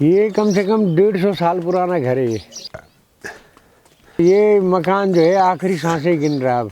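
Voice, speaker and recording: Long pauses come often, while pitch rises and falls in an ordinary way. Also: man, high pitch for a man. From Uttarakhand, Pauri Garhwal. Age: 60s. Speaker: villager. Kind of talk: documentary interview.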